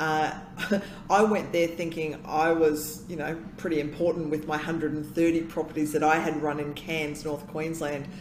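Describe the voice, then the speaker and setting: With noticeable background noise, a woman speaks at a fairly slow pace in a very deep, low pitch with monotone, flat intonation. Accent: Australian. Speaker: consultant and emcee. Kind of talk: casual interview chat.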